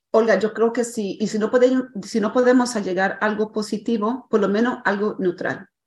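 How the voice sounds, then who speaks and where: Her fairly high voice is somewhat breathy, and this woman keeps a moderate pace and fairly even intonation. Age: 60s. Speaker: life coach. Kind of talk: interview. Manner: hesitant, with many fillers.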